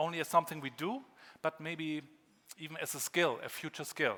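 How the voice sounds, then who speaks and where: With a German accent, a man speaks in a fairly high-pitched voice with a bright, sharp tone. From northern Germany (Rostock, former GDR). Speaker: keynote speaker. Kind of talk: conference keynote. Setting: stage with audience.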